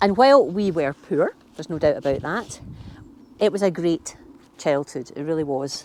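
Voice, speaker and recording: A woman with a Glasgow accent talks at a moderate pace, her fairly low voice moving with lively intonation. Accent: Glasgow Scottish. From Scotland, Glasgow (Maryhill). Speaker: gardening vlogger. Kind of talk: casual chat. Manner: hesitant, many fillers.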